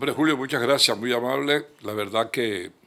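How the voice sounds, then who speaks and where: Ordinary pitch variation runs through a voice with a bright, sharp tone. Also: man. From Colombia, Caribbean coast (Magdalena, raised in Cartagena). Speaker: journalist and lawyer. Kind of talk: TV interview. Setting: his office.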